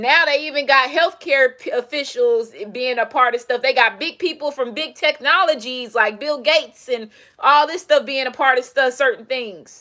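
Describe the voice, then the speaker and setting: A woman's raised, projected voice, high-pitched with a bright, sharp tone, at a moderate pace. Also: ordinary pitch variation. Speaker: tarot reader and self-styled presidential candidate. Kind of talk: casual monologue, rant. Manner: stumbles and mumbles; animated.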